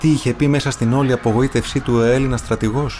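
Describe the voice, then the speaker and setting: This man talks at a moderate pace with fairly even intonation. Noticeable background noise runs behind him. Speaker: actor narrating audiobook. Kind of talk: literary audiobook reading, solemn historical narration of the burning of Smyrna. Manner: clear, steady, actor-trained delivery.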